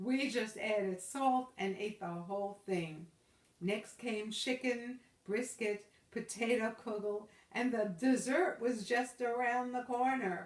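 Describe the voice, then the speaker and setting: Ordinary pitch variation runs through the speech. It moves at a very slow pace. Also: woman, fairly high pitch for a woman. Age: 80s+. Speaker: grandmother storyteller. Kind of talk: storytelling to grandchild.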